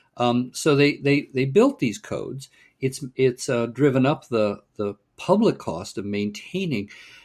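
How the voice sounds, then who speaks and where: A man with a Californian accent talks at a fairly slow pace and a medium pitch. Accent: General American (Californian). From US West Coast, Pasadena, California. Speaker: urban planning nonprofit director, former mayor. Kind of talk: podcast interview.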